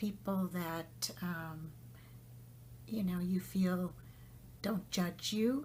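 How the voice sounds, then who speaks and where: A woman with a fairly low pitch speaks at a very slow pace, leaving long, frequent pauses. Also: ordinary pitch variation. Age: 60s. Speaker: podcast host. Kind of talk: personal monologue about spiritual journey. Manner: reflective, hesitant with fillers.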